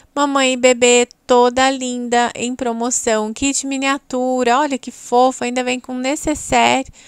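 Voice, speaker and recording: Speaking with a Brazilian accent, a woman uses a high pitch and a fairly slow pace. The sound is dry and close with no echo. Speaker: Natura consultant and YouTuber. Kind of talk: street-market pitchman style sales pitch, rattling off promo items and prices. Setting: video channel, recorded to camera. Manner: breathless price-list patter with repeated 'gente' and 'tá bom?'.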